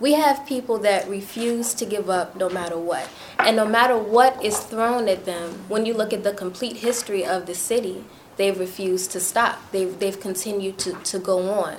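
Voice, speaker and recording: A woman speaks with an American accent at a medium pitch. Noticeable background noise is present. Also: ordinary pitch variation, moderate pace. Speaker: community activist. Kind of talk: roundtable discussion.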